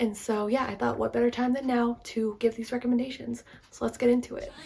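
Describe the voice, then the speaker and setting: Her voice is fairly high and somewhat breathy. The woman's intonation stays fairly even. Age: 20s. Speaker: book reviewer. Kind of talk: casual talk to camera.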